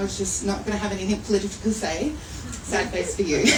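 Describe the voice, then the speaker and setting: A woman's fairly high-pitched voice, with audible room echo and noticeable background noise. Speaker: poetry anthology editor and publisher. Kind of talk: speech at a live book launch event. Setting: venue with live audience. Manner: loud; animated.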